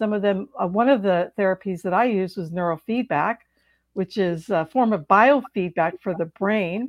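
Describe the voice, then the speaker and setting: Speaking at a moderate pace, a woman uses an ordinary speaking voice at a medium pitch, with ordinary pitch variation. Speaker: author and trauma recovery coach. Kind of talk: interview.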